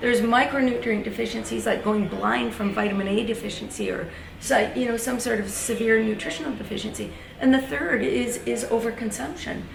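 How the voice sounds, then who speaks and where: Through noticeable background noise and audible room echo, a woman speaks at a fairly quick pace, her pitch fairly high with ordinary variation. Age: 60s. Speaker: registered dietitian. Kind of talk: interview. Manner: energetic.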